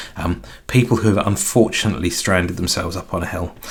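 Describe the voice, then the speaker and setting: With a southern English accent, a man talks at a moderate pace. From southern England, near London. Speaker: tech live streamer. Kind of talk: casual chat on live stream. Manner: halting, many fillers.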